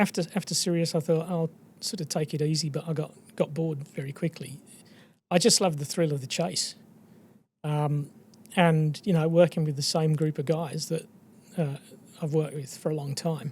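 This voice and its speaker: A man at a moderate pace and fairly high pitch, with fairly even intonation and long, frequent pauses. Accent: Australian. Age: 60s. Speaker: exploration geologist. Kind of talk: podcast interview.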